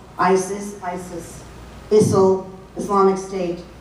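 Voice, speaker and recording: Speaking with an American accent, a woman's voice carries audible room echo and noticeable background noise. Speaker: national security analyst. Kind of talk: speech to a club audience. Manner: animated.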